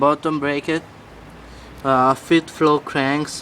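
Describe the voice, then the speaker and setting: This man speaks with a non-native accent and fairly even intonation. His pitch is fairly high. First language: not English. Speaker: BMX rider. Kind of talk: casual bike walkthrough to camera. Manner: hesitant, many fillers.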